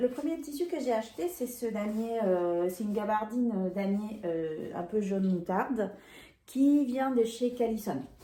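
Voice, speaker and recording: Over noticeable background noise and audible room echo, a woman speaks at a fairly slow pace. Her voice is fairly high, with lively intonation. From Peru. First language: Spanish (speaking French). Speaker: sewing and knitting vlogger. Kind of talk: casual haul video chat. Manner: hesitant, many fillers.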